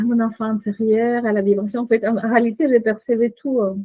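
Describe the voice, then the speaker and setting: In a Chilean accent, a woman speaks at a moderate pace with monotone, flat intonation. Her pitch is fairly high. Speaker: coach and shaman. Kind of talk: podcast interview. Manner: hesitant, many fillers.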